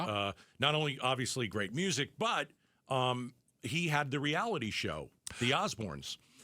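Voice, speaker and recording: A bright, sharp tone with vocal fry and lively intonation, at a moderate pace and very even loudness, on a very clean recording over a silent background. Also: man, medium pitch for a man. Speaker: radio talk show host. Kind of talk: radio talk show conversation. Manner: casual, conversational.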